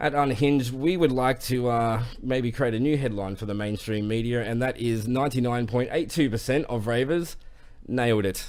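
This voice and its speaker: Ordinary pitch variation from a man speaking at a medium pitch. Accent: Australian. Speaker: online show host. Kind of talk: news segment on live stream. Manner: fast.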